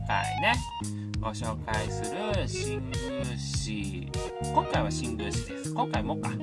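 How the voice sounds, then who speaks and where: Loud music fills the background as a man speaks at a very slow pace. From Wakayama, Japan. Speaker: comedian. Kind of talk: casual talk to camera. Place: home room. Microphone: phone near.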